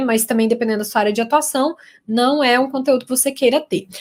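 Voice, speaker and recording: Talking at a fairly quick pace, a woman with a high voice speaks in a Minas Gerais accent. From Minas Gerais, Brazil. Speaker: communication consultant and lecturer. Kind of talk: live stream talk for university students.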